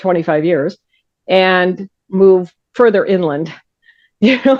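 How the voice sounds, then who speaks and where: A woman speaks at a fairly slow pace at a medium pitch with ordinary pitch variation. It is a plain, everyday voice. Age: 60s. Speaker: crime writer and forensic scientist. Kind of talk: interview.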